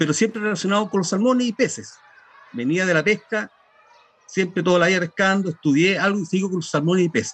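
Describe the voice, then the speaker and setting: Pitch runs high and varies in an ordinary way as this man talks at a very fast pace. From Chile, Los Ángeles (Biobío). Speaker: fishing guide and author. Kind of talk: interview. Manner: halting.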